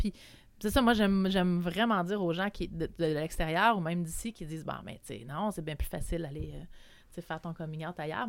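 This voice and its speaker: At a moderate pace, a woman speaks in an unremarkable speaking voice with a medium pitch. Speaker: community organization worker. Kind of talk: casual chat.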